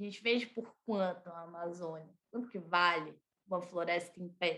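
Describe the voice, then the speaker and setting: A woman speaks at a moderate pace with fairly even intonation. Her tone is bright and sharp. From Brazil, Brasília. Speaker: environmental activist. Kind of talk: interview. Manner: casual, halting.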